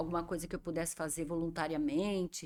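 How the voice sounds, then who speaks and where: Very fast speech from a woman with a Brazilian accent, dry and close with no echo, in a very clean recording with a silent background. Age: 60s. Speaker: professional organizer and show host. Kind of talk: interview chat.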